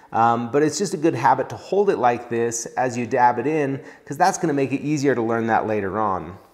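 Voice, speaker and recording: The speech moves at a fairly quick pace with hardly any pauses. The background is quiet. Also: man. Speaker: welding instructor. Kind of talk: tutorial. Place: workshop. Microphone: lapel.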